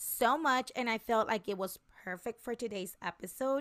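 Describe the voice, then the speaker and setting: Against a silent background on a very clean recording, a woman with a fairly high pitch sounds animated, her tone bright and sharp with some vocal fry. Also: dry, close sound with no echo. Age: 30s. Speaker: solo podcast host. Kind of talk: casual monologue.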